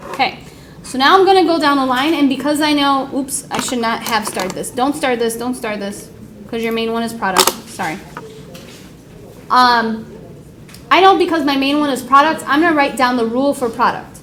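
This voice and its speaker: A woman with a high pitch talks at a fairly quick pace with lively intonation, yet leaves long, frequent pauses. Audible room echo and noticeable background noise surround her voice. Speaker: high school math teacher. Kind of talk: classroom lecture. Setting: classroom with students.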